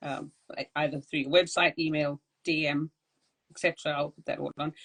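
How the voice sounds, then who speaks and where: A fairly quick, monotone delivery with flat intonation, big swings in loudness, and a dry, close sound with no echo. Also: woman, very deep, low pitch for a woman. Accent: South African. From South Africa. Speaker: podcast host. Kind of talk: interview.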